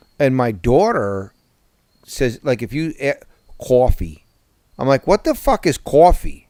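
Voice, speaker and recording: A man speaks with a strong New Jersey accent at a fairly slow pace, his tone dark and mellow. His voice sits fairly high and swings very widely in pitch, broken by long, frequent pauses, in a dry, close sound with no echo. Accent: heavy New Jersey. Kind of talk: casual, profane.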